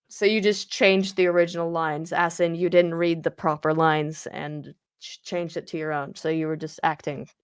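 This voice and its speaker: On a very clean recording with a silent background, a woman with a fairly low pitch speaks at a fairly quick pace with hardly any pauses, big swings in loudness and fairly even intonation. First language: not English. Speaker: game streamer. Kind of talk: casual chat.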